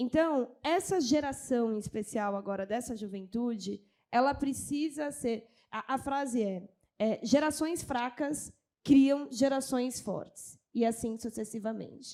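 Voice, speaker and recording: The voice has a dark, mellow tone and ordinary pitch variation, moving at a fairly slow pace. The recording is very clean, with a silent background. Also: woman, high pitch for a woman. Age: 30s. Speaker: culture official. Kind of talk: panel discussion.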